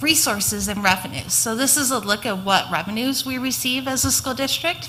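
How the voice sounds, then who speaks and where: A woman's voice rises and falls in very wide pitch swings. Noticeable background noise is present. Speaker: school district finance officer. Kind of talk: budget presentation.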